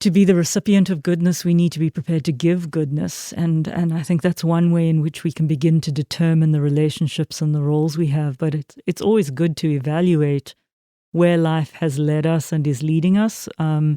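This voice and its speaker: A woman's very deep, low voice with a South African accent, dark and mellow in tone, fairly even in intonation, at a fairly quick pace, in a very clean recording with a silent background and a dry, close sound with no echo. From South Africa, Port Elizabeth. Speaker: minister. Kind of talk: interview. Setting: church. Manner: halting, many fillers.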